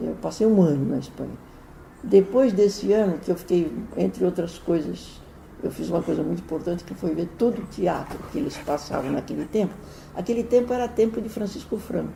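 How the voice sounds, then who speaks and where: A woman talks at a fairly quick pace while noticeable background noise carries on behind her. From Brazil, São Paulo. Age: 80s+. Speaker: writer and playwright. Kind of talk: interview. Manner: halting, frequent repetitions.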